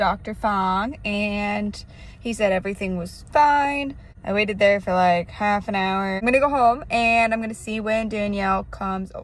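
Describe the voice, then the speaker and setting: Somewhat breathy speech from a woman, medium in pitch, with ordinary pitch variation and big swings in loudness. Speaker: vlogger. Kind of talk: casual vlog. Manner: casual, many fillers.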